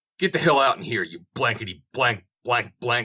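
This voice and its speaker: Using a raspy put-on character voice, a man speaks at medium pitch and a moderate pace with very wide pitch swings. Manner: screaming, angry.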